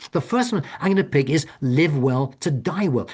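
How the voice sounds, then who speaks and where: Lively intonation runs through this voice. It sounds somewhat breathy. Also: man. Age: 70s. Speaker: author and hospice volunteer speaking on death. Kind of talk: webinar presentation. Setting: Zoom webinar. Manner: halting, many repetitions and restarts.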